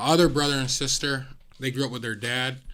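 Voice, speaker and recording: This man has a normal speaking voice at medium pitch with an American accent. He talks at a fairly quick pace with fairly even intonation. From upstate New York (Syracuse). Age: 20s. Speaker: teacher and motivational speaker. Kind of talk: interview.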